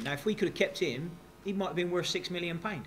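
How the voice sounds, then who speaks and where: A man speaks in a West Country accent. Audible room echo surrounds his voice. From West Country, England. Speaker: football manager. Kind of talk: press conference. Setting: press conference at stadium.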